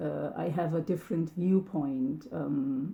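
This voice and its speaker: Her voice is dark, mellow and somewhat breathy, fairly low in pitch, and she speaks at a fairly slow pace. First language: Turkish and German. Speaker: language hobbyist vlogger. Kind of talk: casual monologue. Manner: halting, many fillers.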